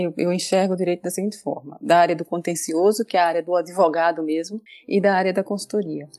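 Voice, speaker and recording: A woman's dark, mellow tone comes through in a dry, close sound with no echo. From Brazilian Northeast. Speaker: data protection specialist. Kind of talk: interview.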